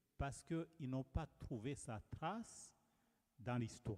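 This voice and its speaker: A man speaks very slowly with a Rwandan accent. His intonation is lively. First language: Kinyarwanda (speaking French). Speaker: preacher. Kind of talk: sermon.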